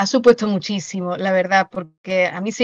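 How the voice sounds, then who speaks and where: Dry and close with no echo, a woman with an unremarkable speaking voice talks at a moderate pace and medium pitch with fairly even intonation. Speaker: writer and secondary school teacher. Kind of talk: interview.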